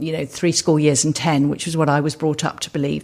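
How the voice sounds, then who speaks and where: Her pitch is very deep and low. This woman speaks with a southern English accent. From England, Suffolk. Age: 60s. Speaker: entrepreneur. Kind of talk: interview. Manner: hesitant, with fillers.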